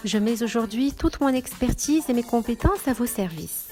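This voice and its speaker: Music plays in the background as a woman speaks. Her pitch is fairly high and her pace fairly slow. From Morocco. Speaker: voice actor. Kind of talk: self-presentation voice demo.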